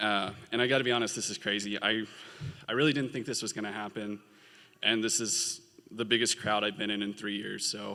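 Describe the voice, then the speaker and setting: Fairly quick pace from a man with a fairly low pitch, vocal fry, a bright, sharp tone and monotone, flat intonation. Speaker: graduating law student. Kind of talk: commencement speech. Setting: stage with audience.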